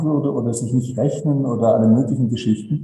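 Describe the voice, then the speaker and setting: The voice is dark and mellow, somewhat breathy, at a moderate pace with audible room echo. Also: man. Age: 70s. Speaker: renewable energy company director. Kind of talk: interview. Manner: concise.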